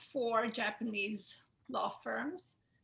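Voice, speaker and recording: With an Israeli accent, a woman talks fairly slowly at a high pitch. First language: Hebrew. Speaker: attorney. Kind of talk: webinar self-introduction.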